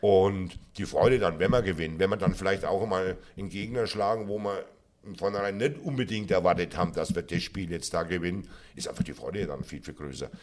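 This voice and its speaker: Speaking at a fairly quick pace, the man has a fairly low pitch and ordinary pitch variation. His loudness swings widely. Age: 50s. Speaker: football club fan liaison officer. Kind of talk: casual interview. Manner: repeats words, hesitant fillers.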